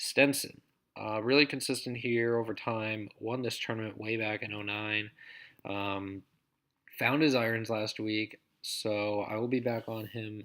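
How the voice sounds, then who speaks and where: A man at medium pitch with a monotone, flat intonation and a fairly slow pace, on a very clean recording with a silent background. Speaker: daily fantasy golf analyst. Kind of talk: solo breakdown video, casual analysis. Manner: casual with many fillers.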